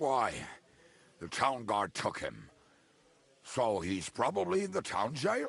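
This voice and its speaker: In a put-on character voice, a raspy man speaks at a medium pitch and a fairly slow pace, with very wide pitch swings and long, frequent pauses. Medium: video game. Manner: gruff, crude, hearty.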